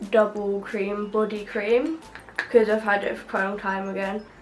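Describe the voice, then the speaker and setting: The woman's moderate pace comes through over a noticeable layer of background noise. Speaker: beauty vlogger. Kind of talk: casual vlog talk to camera.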